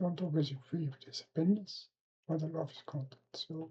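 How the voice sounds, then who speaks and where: A woman's dark, mellow, somewhat breathy voice with ordinary pitch variation. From Belgium. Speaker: reaction video creator. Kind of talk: casual reaction commentary.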